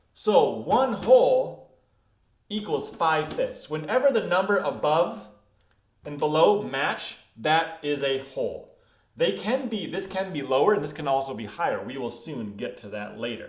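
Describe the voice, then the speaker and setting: With audible room echo, a man speaks at a fairly high pitch, making very wide pitch swings and big swings in loudness. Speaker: schoolteacher. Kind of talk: recorded lesson for students. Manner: casual, hesitant; fast.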